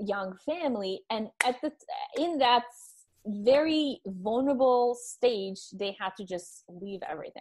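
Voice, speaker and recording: Speaking at a fairly slow pace, a woman with a non-native accent uses a high pitch and lively intonation in a very clean recording with a silent background. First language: not English. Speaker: holistic nutritionist. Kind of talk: interview testimony. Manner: halting, many repetitions.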